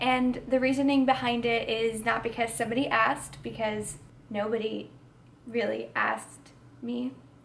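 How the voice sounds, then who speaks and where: A woman speaks at a moderate pace with a fairly high pitch. Audible room echo surrounds her voice. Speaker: YouTuber. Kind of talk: personal testimony vlog. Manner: hesitant, filler words.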